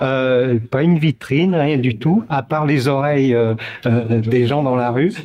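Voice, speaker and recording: At a very slow pace, a man speaks at medium pitch with ordinary pitch variation and very even loudness. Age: 60s. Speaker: protester interviewed outside court. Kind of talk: street interview testimony. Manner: hesitant, many fillers.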